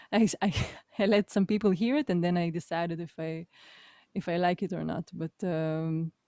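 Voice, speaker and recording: With an Israeli accent, the speaker has a dark, mellow tone, ordinary pitch variation and a moderate pace. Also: woman, dry, close sound with no echo. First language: Hebrew. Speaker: musician. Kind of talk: casual chat. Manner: halting.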